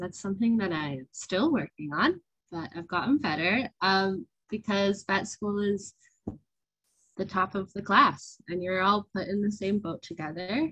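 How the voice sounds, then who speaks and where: A woman with an American accent at a fairly slow pace, dry sound with no echo, over a quiet background. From USA. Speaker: veterinary student. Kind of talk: presentation and Q&A answers. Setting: online webinar. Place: home room. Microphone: video call.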